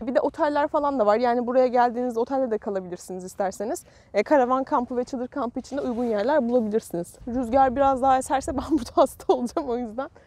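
Delivered at a very fast pace with hardly any pauses, the speech has ordinary pitch variation and a dry sound with no echo. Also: woman, high pitch for a woman. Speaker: travel vlogger. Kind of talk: casual vlog chat. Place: beach. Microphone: phone near.

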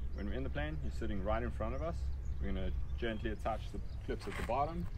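Loud noise fills the background. Over it, a man talks at a very fast pace. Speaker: skydiving instructor. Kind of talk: safety briefing. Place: open country.

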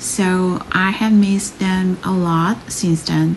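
A woman's very slow speech with ordinary pitch variation over light background noise. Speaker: stationery vlogger. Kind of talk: casual vlog narration.

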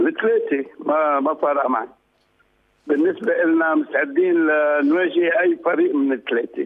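At a fairly quick pace, a man speaks with a fairly high pitch and ordinary pitch variation.

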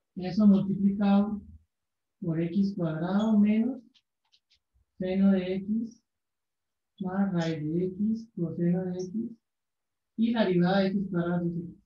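A man at a very slow pace with long, frequent pauses and audible room echo. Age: 20s. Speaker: math teacher. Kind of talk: casual chat; lecture. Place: classroom. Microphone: camera far.

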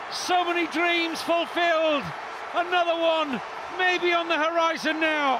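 Over crowd noise, a man speaks fairly slowly in a raised, projected voice at an extremely high pitch, his intonation monotone and flat, the sound dry with no echo. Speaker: football commentator. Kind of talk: live football commentary. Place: stadium.

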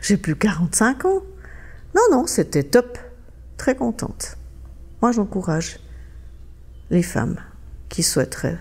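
Noticeable background noise surrounds a woman talking. She goes at a very slow pace with long, frequent pauses. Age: 60s. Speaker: interviewee sharing cosmetic surgery experience. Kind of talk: testimony. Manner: halting, many filler words.

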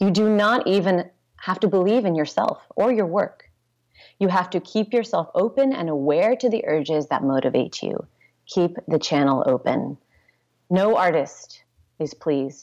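A woman with an American accent speaks at a moderate pace in medium pitch, with lively intonation. It is an ordinary speaking voice against a quiet background. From US West Coast (Santa Rosa, California); California. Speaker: pole dance instructor and studio owner; pole dance instructor. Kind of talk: interview. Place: home room. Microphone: earbuds.

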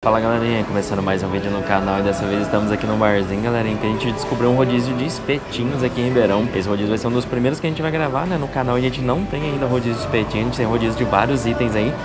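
Over clear background music, a man talks very fast with hardly any pauses and ordinary pitch variation. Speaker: food vlogger. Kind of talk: casual vlog chat. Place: bar. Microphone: lapel.

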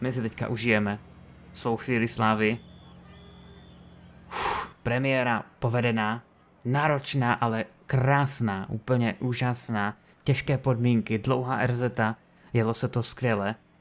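Here a man talks at a medium pitch. His intonation is fairly even.

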